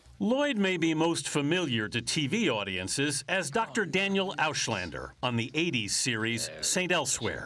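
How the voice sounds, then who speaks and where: With very wide pitch swings and very even loudness, a man speaks at a fairly high pitch with hardly any pauses over noticeable background noise. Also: moderate pace. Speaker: TV news correspondent. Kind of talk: TV news feature narration.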